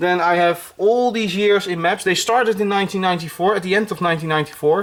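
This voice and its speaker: The speaker has a Dutch accent. They talk with hardly any pauses. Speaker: YouTuber, F1 collector. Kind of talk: show-and-tell video. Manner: halting, many fillers.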